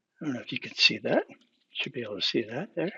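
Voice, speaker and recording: Vocal fry marks the man's voice. He talks at a fairly quick clip. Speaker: hobbyist maker. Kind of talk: tutorial. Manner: casual, halting.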